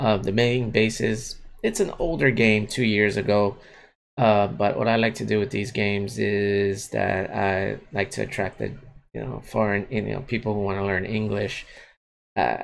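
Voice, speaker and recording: A moderate pace with ordinary pitch variation, over light background noise. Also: man, fairly low pitch for a man. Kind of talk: casual vlog chat. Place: home room. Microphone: webcam.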